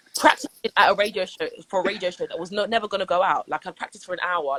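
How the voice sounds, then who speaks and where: A woman with a London accent, medium in pitch, very fast and animated, in a dry, close sound with no echo. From Southwest London. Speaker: radio presenter and DJ. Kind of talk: interview. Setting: Instagram live video call.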